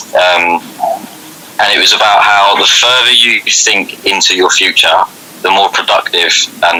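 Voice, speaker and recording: A man keeps a moderate pace, with noticeable background noise behind his speech. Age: 20s. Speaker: youth well-being coach. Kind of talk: radio interview.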